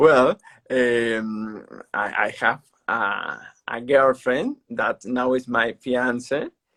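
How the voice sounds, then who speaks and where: A man with a Peruvian accent speaks at a very slow pace in a medium pitch. His tone is bright and sharp, his intonation fairly even, and the sound dry and close with no echo. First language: Spanish. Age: 30s. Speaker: para-athlete. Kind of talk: interview. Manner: halting.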